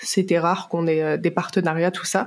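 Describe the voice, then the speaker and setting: A woman talks in a monotone, flat intonation. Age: 20s. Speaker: UGC content creator. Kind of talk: podcast interview. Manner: hesitant, many fillers.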